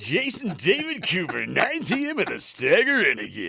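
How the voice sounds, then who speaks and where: A man's put-on character voice, high-pitched, raised and projected, over light background noise. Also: moderate pace. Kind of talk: polished broadcast announcer.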